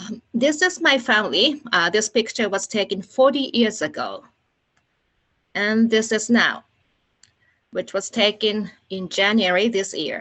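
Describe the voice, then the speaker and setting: A woman with a Japanese accent, lively in intonation, at a fairly slow pace with long, frequent pauses. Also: fairly high pitch for a woman. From Japan, Nagano. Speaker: Olympic organizing committee staff. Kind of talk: presentation. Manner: halting.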